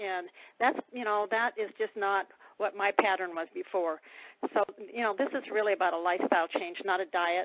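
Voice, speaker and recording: A normal speaking voice from a woman, medium in pitch, with ordinary pitch variation at a moderate pace. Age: 60s. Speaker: testimonial guest on a sales call. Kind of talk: testimony.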